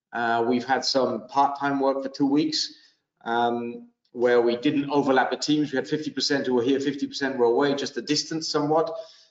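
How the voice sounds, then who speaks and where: In audible room echo but with a quiet background, a man speaks with fairly even intonation. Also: moderate pace. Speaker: panelist. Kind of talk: interview answer. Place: studio. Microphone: video call.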